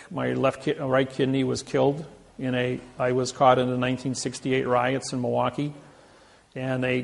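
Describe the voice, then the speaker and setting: A man speaks at medium pitch and a moderate pace. His intonation stays monotone and flat. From US Midwest, Indiana. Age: 60s. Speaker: seminar speaker. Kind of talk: seminar talk.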